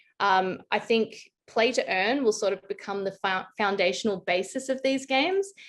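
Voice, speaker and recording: Against a quiet background, a woman with an Australian accent speaks at a medium pitch with ordinary pitch variation. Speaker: blockchain consultant. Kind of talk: interview.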